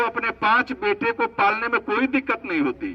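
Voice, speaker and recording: A man speaks in a raised, projected voice with high pitch. The sound is dry and close, with no echo. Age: 60s. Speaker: government official speaking at event. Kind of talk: public speech. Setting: event at old age home.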